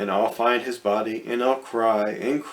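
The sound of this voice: The voice reads in an unforced way. That holds from start to finish.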